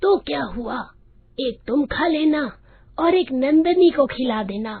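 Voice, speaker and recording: A woman uses a put-on character voice with a high pitch and a raspy edge. Her intonation is lively and her pace fairly slow. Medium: cartoon.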